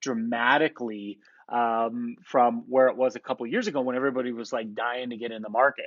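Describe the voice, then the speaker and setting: Man with a medium pitch, an animated tone and a fairly quick pace. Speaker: real estate team leader. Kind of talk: market update presentation.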